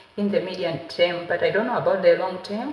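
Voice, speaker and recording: A woman's medium-pitched voice amid audible room echo and noticeable background noise. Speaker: lifestyle vlogger. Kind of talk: casual chat. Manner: hesitant, many fillers.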